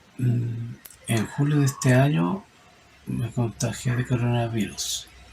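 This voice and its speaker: Over noticeable background noise, a man with a medium-pitched voice talks at a very slow pace with fairly even intonation. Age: 60s. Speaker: epilepsy patient. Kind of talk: testimony.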